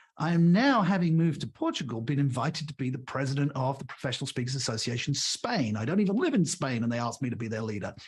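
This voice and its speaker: A man talks at a very fast pace with hardly any pauses. His fairly high voice is somewhat breathy, with lively intonation. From Britain. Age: 60s. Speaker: leadership author and speaker. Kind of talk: podcast interview.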